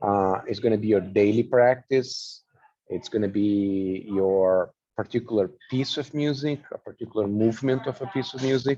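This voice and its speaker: With a non-native accent, a man talks in a dark, mellow tone at medium pitch, moderate pace and ordinary pitch variation. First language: not English. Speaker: flute teacher presenting a workshop. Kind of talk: online workshop presentation. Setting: online video presentation.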